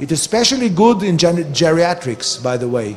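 A man's high-pitched voice at a moderate pace, with faint music in the background. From Israel. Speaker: medical cannabis researcher and advocate; conference lecturer. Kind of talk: conference lecture. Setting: stage with audience. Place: hall.

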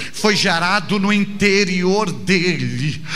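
A man's raised, projected voice at a high pitch, with ordinary pitch variation and a very slow pace, over music in the background. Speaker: preacher. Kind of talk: sermon. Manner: emphatic, driving cadence with repeated phrases; didactic, earnest, direct address to the listener. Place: church. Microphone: handheld.

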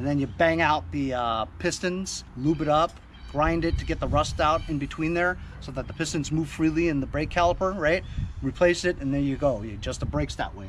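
A man speaks at a fairly quick pace. Light background noise is present. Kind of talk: tutorial. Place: street.

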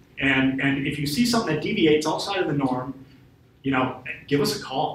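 Fairly quick and fairly high-pitched, a man with an American accent talks with ordinary pitch variation, with audible room echo and light background noise. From northern Wisconsin. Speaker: FBI special agent; guest. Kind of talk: invited talk. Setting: room with live audience. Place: classroom. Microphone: camera far.

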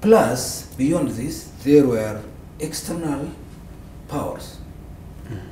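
A man speaks at a very slow pace, with long, frequent pauses. Room echo is audible, along with light background noise. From Ethiopia (Tigray); Ethiopia. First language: Tigrinya. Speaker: war veteran; interview guest. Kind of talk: interview. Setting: studio. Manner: halting. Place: studio.

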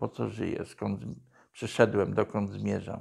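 The pace is moderate as a man talks. Nothing can be heard behind him. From Poland, Podkarpacie (Jasło); Podkarpacie, Poland. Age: 60s. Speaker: former drug addict sharing conversion story; interviewee. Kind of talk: testimony. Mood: calm, reflective storytelling. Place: office.

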